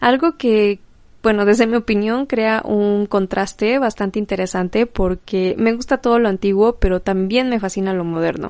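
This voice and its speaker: A woman with an unremarkable speaking voice talks at a moderate pace and medium pitch. Her pitch varies in an ordinary way, and the background is quiet. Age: 20s. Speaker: podcast host and vintage shop owner. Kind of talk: solo podcast monologue.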